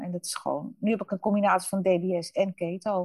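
A woman talks at a moderate pace and medium pitch, with fairly even intonation. Her tone is dark, mellow and somewhat breathy, and the sound is dry and close with no echo. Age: 50s. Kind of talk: interview. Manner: halting.

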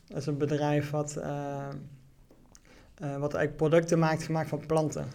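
A man with a dark, mellow tone speaks at a fairly high pitch in a monotone, flat way, going fairly slowly with long, frequent pauses. Audible room echo surrounds him. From Netherlands, Venray (Limburg). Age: 30s. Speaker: entrepreneur. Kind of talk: interview. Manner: halting.

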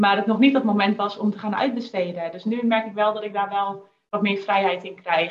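A woman speaks at a moderate pace with medium pitch. She has a normal speaking voice. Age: 20s. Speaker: copywriter and business owner. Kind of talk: casual interview. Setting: video call.

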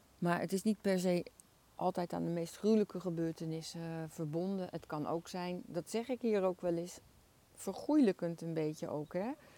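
In a dark, mellow tone, a woman talks at a moderate pace with a fairly low pitch and ordinary pitch variation, the sound dry and close with no echo. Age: 60s. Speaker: equine-assisted coach. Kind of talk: podcast monologue. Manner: hesitant with filler sounds.

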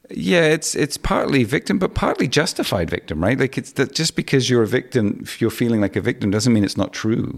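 A man talks at a fairly quick pace with hardly any pauses, at a medium pitch. His pitch swings very widely, and there is vocal fry. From Hong Kong, English family. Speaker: business consultant. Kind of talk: interview.

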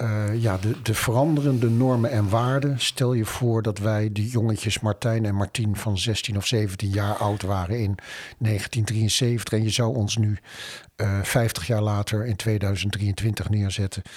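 On a very clean recording with a silent background, a man speaks at a very slow pace in a fairly low, somewhat breathy voice. His loudness stays very even and his intonation fairly even. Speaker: podcast host. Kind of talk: casual chat.

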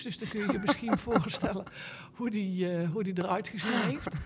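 Over noticeable background noise and with audible room echo, a woman speaks at a medium pitch and a fairly slow pace with ordinary pitch variation. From Netherlands, Eindhoven (Brabant). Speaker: equestrian rider and trainer. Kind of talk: casual interview. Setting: hot exhibition hall at a horse event.

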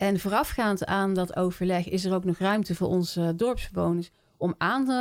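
This is an ordinary speaking voice. A woman talks at a moderate pace in a medium pitch with ordinary pitch variation. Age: 50s. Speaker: village council member. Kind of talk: interview.

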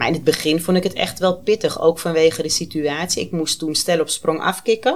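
Here is a woman with a fairly low pitch and ordinary pitch variation, speaking at a fairly quick pace. Hers is a plain, everyday voice. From Amsterdam. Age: 30s. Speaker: guest with lived experience of borderline. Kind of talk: personal testimony in casual interview.

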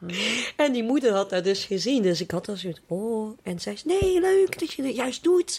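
The voice moves through very wide pitch swings at a moderate pace, with noticeable background noise behind it. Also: woman, fairly high pitch for a woman. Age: 20s. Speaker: trainee primary school teacher. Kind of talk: casual interview.

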